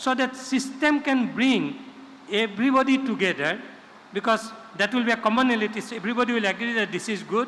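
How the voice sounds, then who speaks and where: Noticeable background noise sits behind the voice. The delivery moves at a fairly quick pace. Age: old. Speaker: panelist. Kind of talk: panel discussion. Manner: loud.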